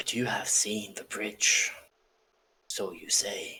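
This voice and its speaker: In a put-on character voice, someone whispers raspily at a very slow pace. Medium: actual play. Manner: grave, measured.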